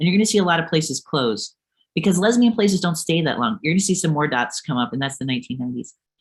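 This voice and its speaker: A woman talks very fast with an American accent, her fairly low pitch making very wide swings. Her voice is somewhat breathy. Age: 40s. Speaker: author and geography professor. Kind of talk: lecture. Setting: webinar. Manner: halting, many fillers.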